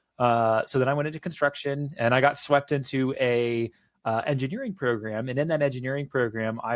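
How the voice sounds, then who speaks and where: A man with a plain, everyday voice and an American accent speaks at a medium pitch and a moderate pace, in a very clean recording with a silent background. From Florida, Cocoa. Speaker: political candidate. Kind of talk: interview.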